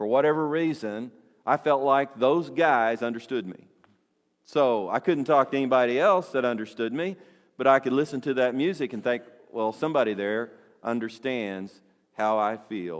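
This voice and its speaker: A man with an unremarkable speaking voice talks at a moderate pace in a medium pitch with ordinary pitch variation. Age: 60s. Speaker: pastor. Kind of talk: sermon. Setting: church.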